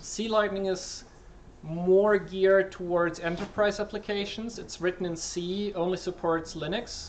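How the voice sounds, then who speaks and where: Against noticeable background noise, a man speaks in a high-pitched, monotone, flat voice. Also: fairly slow pace. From Switzerland. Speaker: software developer. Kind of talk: talk Q&A. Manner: halting with many fillers.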